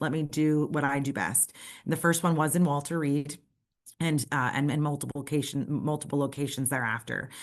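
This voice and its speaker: With an American accent, a woman speaks quickly in a very deep, low pitch and a flat monotone against a quiet background. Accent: New York accent, tamed when presenting. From New York City, Brooklyn. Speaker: nonprofit representative. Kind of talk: presentation. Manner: hesitant, many fillers.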